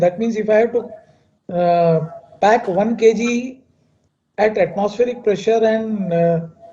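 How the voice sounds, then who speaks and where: A man speaks loudly and fairly slowly in a high pitch, his tone dark and mellow and his intonation fairly even. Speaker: chemical engineer. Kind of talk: lecture. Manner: halting.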